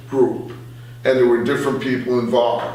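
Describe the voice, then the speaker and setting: Noticeable noise sits behind the speech. The voice rises and falls with lively intonation. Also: man. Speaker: former radio station director and radio host. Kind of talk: interview answer.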